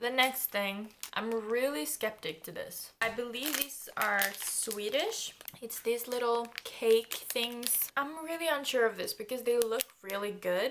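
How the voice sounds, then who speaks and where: A woman with a fairly high pitch and ordinary pitch variation talks at a fairly slow pace while noticeable background noise carries on. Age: young. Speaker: YouTuber. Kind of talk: casual talk to camera.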